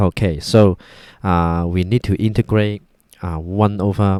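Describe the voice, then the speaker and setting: Moderate pace and fairly even intonation with a Cantonese accent, dry, close sound with no echo, very clean recording and silent background. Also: man. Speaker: math tutor. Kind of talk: tutorial. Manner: halting, many fillers.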